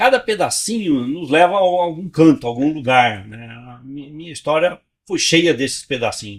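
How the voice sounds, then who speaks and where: A man's high voice swings very widely in pitch, captured on a very clean recording against a silent background. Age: 70s. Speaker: physician, pre-hospital care veteran. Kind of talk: interview. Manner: halting, many repetitions.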